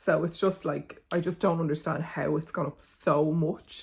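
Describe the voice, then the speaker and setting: A woman's very deep, low voice, somewhat breathy, with monotone, flat intonation. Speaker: beauty content creator. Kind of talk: casual product review vlog.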